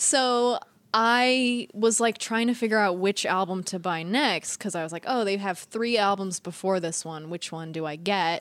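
A woman speaks at a moderate pace in an American accent, her medium pitch showing ordinary pitch variation. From Northern California. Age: 30s. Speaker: podcast co-host. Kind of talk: casual chat. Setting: remote recording, different states.

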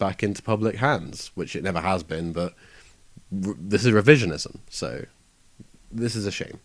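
Recorded very cleanly over a silent background, a man with an unremarkable speaking voice and fairly low pitch talks at a moderate pace. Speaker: music person. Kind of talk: casual discussion.

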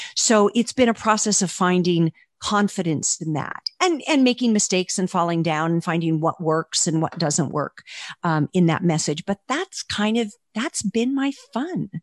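In a normal speaking voice, a woman of medium pitch talks at a moderate pace with lively intonation, the sound dry and close with no echo and the background quiet. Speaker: author. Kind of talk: casual interview.

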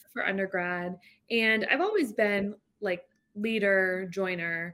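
A plain, everyday voice with an American accent, ordinary pitch variation and a moderate pace. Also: woman. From northeast Florida, Jacksonville. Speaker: lawyer, law firm managing partner. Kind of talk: interview, casual business chat.

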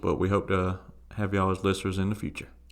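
Speaking with a Southern US accent, a man is heard on a very clean recording with a silent background. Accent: Southern twang. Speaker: soccer podcast co-host. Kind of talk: casual chat.

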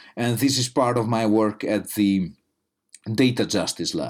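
In a very clean recording with a silent background, a man with an Italian accent speaks at a fairly slow pace and a fairly low pitch. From Italy. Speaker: media studies lecturer. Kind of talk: interview. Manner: halting.

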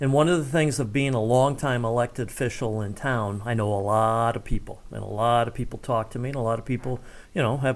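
In an American accent, a man uses a normal speaking voice at a medium pitch with ordinary pitch variation and a fairly quick pace, in a very clean recording with a silent background. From US Midwest, Ohio (Cincinnati and Columbus). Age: middle-aged. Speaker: former local radio host and town official. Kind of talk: casual interview.

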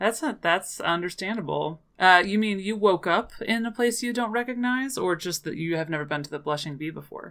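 A woman's unremarkable speaking voice, medium in pitch, with lively intonation and a fairly quick pace. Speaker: tabletop role-playing game player. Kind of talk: tabletop role-play session, casual.

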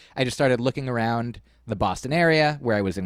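Speaking at a fairly quick pace, a man uses a medium pitch and lively intonation. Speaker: comedian and musician. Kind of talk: casual interview chat. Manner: hesitant, many fillers.

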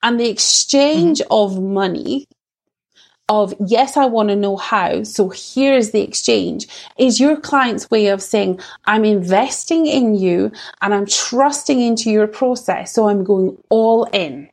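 Her loudness very even, a woman speaks with a Scottish accent at a fairly high pitch. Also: ordinary pitch variation. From Scottish Borders, Scotland. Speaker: sales coach for women entrepreneurs. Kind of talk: interview.

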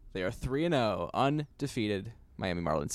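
With a plain, everyday voice, a man speaks in an American accent at a moderate pace with lively intonation, in a very clean recording with a silent background. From New York, Queens. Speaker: podcast co-host, baseball fan. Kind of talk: casual chat.

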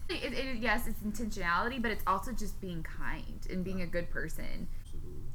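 Over noticeable background noise, a woman talks at a very fast pace with a fairly high pitch. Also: ordinary pitch variation. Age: 20s. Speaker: podcast co-host. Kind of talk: casual chat.

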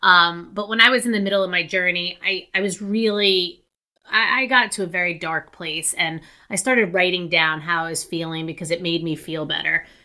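With a plain, everyday voice, a woman talks at a moderate pace in a medium pitch with ordinary pitch variation. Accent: American. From New Jersey, US. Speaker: memoir author. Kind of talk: interview, personal story.

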